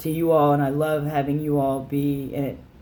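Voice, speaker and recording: A man with a fairly high pitch talks at a fairly slow pace in a monotone, flat delivery, with audible room echo. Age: 20s. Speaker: vlogger sharing gender transition update. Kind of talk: casual personal vlog. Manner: halting, many fillers.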